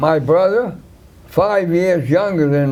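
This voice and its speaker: A man's high voice with a New York accent, very slow in pace with ordinary pitch variation, under audible room echo. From New York, Brooklyn (Williamsburg). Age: 80s+. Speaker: war veteran. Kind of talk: interview. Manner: halting.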